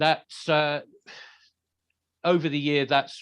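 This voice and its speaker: With an English accent, a man speaks at a fairly high pitch and a moderate pace, his intonation fairly even. The sound is dry and close, with no echo and a quiet background. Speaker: heavy metal singer. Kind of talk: interview.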